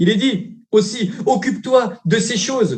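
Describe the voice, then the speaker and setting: Intonation stays lively as a man talks at a very slow pace. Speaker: preacher. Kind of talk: sermon. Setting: livestream church service. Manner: animated.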